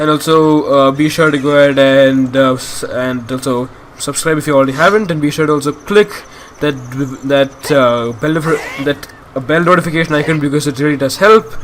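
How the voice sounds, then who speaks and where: A man with a fairly high voice talks at a fairly quick pace as noticeable noise sounds behind him. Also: fairly even intonation. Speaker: gaming youtuber. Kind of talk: let's play commentary. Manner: halting.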